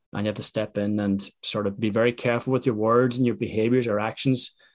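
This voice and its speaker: In an Irish accent, a man speaks fairly quickly at a fairly low pitch with monotone, flat intonation. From Ireland. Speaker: podcast host. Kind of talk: interview chat.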